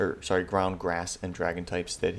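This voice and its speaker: Against noticeable background noise, a man with a very deep, low pitch speaks at a very fast pace. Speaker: competitive gaming youtuber. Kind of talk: gameplay commentary. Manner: casual, halting with self-corrections.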